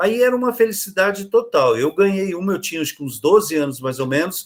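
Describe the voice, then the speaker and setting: Lively intonation from a man with a high voice, at a fairly quick pace. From interior of São Paulo state, Brazil. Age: 70s. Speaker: children's author. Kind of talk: interview conversation. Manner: halting, many fillers.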